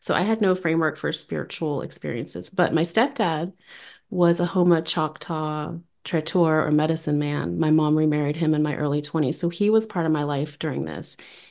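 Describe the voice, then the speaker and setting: Speaking at a moderate pace with a very deep, low pitch, a woman with an American accent keeps her intonation fairly even over a quiet background. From New Orleans, US South. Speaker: spiritual experience sharer. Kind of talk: casual interview chat. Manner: soft-spoken, quiet.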